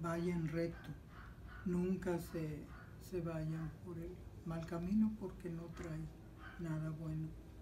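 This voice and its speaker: A woman speaks at a very slow pace with long, frequent pauses. Noticeable background noise runs behind her. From Mexico, Sinaloa. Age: old. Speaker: grandmother interviewee; interviewee. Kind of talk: interview. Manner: halting. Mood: earnest, advising. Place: home room. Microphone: camera far.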